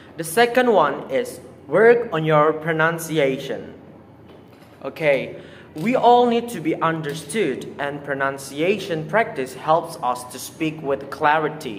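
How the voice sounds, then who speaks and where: A man with an Indonesian accent, fairly high in pitch, very slow in pace, with lively intonation and noticeable background noise. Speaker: student presenter. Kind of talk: oral presentation.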